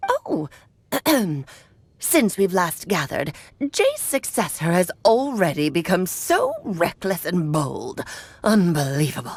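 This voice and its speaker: A woman uses a put-on character voice at a medium pitch. She moves at a fairly slow pace with long, frequent pauses. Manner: haughty, disdainful.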